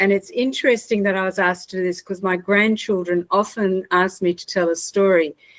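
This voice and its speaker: With an Australian accent, this voice moves along at a fairly quick pace. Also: woman. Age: 60s. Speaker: mental health trainer and consultant. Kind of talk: personal storytelling talk.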